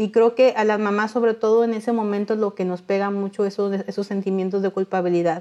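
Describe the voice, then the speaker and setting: A woman with a medium pitch and a dark, mellow tone rushes along at a very fast pace with hardly any pauses, in a monotone, flat intonation. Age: 40s. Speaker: industrial engineer and charity founder. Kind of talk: interview testimony. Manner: halting, many fillers and repetitions.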